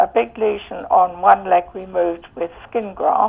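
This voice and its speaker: Very slow speech with an English accent. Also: woman. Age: 70s. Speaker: customer giving testimonial. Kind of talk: testimony. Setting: phone call. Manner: hesitant, many fillers.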